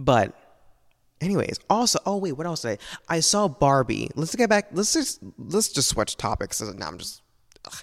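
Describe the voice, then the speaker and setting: A man at a fairly high pitch, with very wide pitch swings, big swings in loudness and a moderate pace. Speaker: podcaster. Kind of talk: late-night solo rant, rambling confessional monologue. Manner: rambling, hesitant, full of fillers and restarts; emotional, self-doubting, dramatic and candid.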